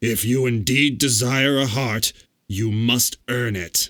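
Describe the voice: In a gruff, put-on character voice, a man speaks at medium pitch and a fairly slow pace.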